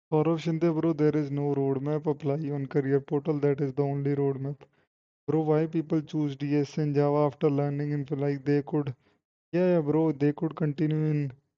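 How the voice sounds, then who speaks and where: Speaking in a flat monotone at a moderate pace, a man with a Punjabi accent has a fairly high pitch. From Punjab, India. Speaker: software engineer and coding streamer. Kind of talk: live stream Q&A reading chat. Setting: live stream on laptop.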